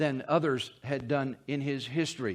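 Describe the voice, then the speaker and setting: A man speaks at a fairly slow pace. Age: 60s. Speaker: pastor. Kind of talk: sermon. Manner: halting, frequent fillers and repeated words.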